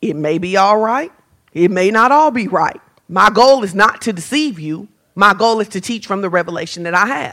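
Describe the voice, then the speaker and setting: A woman's unremarkable speaking voice, medium in pitch, at a moderate pace with lively intonation. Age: 40s. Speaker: pastor. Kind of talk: sermon. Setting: church.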